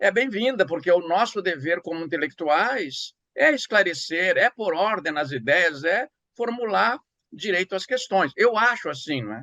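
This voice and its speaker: A man's raised, projected voice, high-pitched and bright and sharp, with very wide pitch swings, a fairly slow pace, and a dry, close sound with no echo. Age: 70s. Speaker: writer and professor. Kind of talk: interview. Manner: halting.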